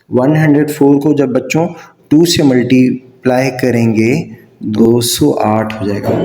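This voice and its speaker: Over noticeable background noise and audible room echo, a man talks at a medium pitch with ordinary pitch variation. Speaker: math teacher. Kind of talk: tutorial. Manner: slow.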